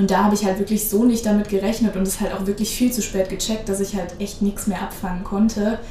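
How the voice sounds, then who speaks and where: Noticeable background noise sits behind this recording. A woman speaks at a medium pitch. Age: 20s. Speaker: rhönrad coach and student. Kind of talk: casual interview.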